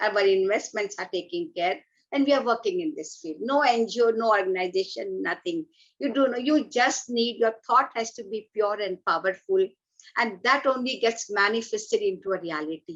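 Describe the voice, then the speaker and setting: Speaking at a moderate pace with an Indian accent, a woman with a fairly high voice makes very wide pitch swings. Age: 60s. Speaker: environmental activist. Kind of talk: talk at an online event. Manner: animated.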